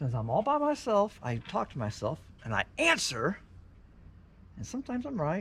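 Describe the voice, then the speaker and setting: At a moderate pace, a man with a high pitch speaks with very wide pitch swings. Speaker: fishing vlogger. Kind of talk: casual solo vlog narration.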